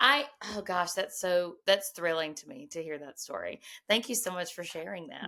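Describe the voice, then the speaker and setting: A woman speaks at a moderate pace in a medium pitch, with a normal speaking voice. Her intonation is lively, and her loudness swings widely. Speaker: podcast host. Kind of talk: podcast interview, casual talk.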